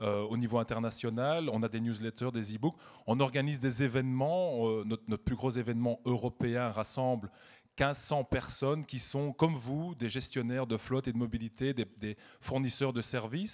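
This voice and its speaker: A man talks at a moderate pace with a Belgian accent and fairly even intonation. The recording is very clean, with a silent background. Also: medium pitch for a man. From Belgium. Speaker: media executive, award presenter. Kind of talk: gala award speech.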